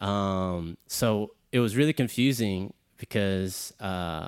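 With an American accent, a man uses an ordinary speaking voice, fairly low in pitch with ordinary pitch variation, on a very clean recording with a silent background. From Texas, Houston. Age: 30s. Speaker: dancer and choreographer. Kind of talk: casual chat.

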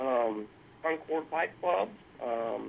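Speaking in a Southern US accent, a man keeps a very slow pace. His intonation is lively. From South Carolina. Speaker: artist and pipe restorer. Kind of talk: interview. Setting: phone call.

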